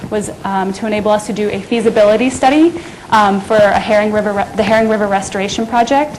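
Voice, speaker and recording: A woman talks very fast at a fairly high pitch, with audible room echo and noticeable background noise. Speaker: conservation program coordinator. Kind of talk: lecture. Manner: hesitant, many fillers.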